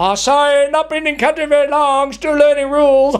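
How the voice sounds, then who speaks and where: A put-on character voice talks at a fairly quick pace in a high pitch. Light background noise can be heard. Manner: apologetic.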